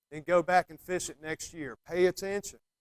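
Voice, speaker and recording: A man talks at a fairly quick pace and high pitch. The sound is dry and close, with no echo. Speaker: fly fishing guide. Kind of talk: talk to a club meeting. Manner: casual, hesitant with ums.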